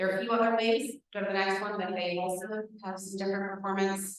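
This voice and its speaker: Audible room echo surrounds a woman of medium pitch whose intonation stays fairly even. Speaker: transit project presenter. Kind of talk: public presentation. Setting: community meeting. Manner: fast.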